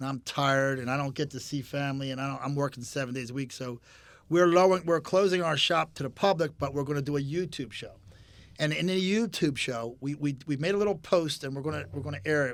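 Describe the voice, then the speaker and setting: The recording is very clean, with a silent background. A man with a fairly high pitch talks at a very fast pace. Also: ordinary pitch variation. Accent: Philadelphia. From Philadelphia area, Pennsylvania. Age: 60s. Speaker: custom motorcycle builder. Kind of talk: casual chat.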